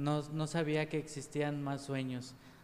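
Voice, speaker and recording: This man's pitch is fairly high. His intonation is monotone and flat. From Mexico, Jalisco (Pegueros). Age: 30s. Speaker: grocery store owner and network marketer. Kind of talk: interview.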